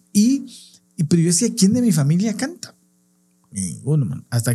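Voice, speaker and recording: A man's voice with very wide pitch swings and a dark, mellow tone. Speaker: clown and podcast co-host. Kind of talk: casual chat.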